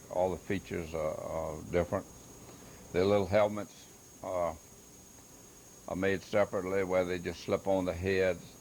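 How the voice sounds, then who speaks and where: With a Louisiana accent, a man speaks at very deep, low pitch in monotone, flat intonation. His pace is moderate, with long, frequent pauses. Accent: Louisiana Southern US. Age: 70s. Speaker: woodcarver and hobby artist. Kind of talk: self-recorded exhibit explanation. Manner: halting, many fillers.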